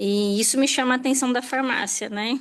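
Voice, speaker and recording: Against a quiet background, a woman with a normal speaking voice talks at a moderate pace with fairly even intonation. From São Paulo, ABC region, Brazil. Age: 30s. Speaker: hospital pharmacist. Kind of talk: self-introduction in online class.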